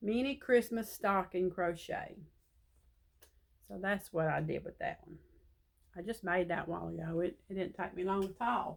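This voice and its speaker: Pausing long and often, a woman talks at medium pitch with ordinary pitch variation and vocal fry. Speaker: crochet vlogger. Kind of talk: casual chat.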